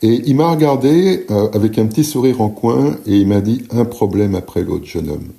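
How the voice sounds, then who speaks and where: This man's medium-pitched voice moves through very wide pitch swings at a fairly slow pace. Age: 60s. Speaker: painter and art teacher. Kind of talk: casual podcast monologue. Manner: hesitant, many fillers and repetitions.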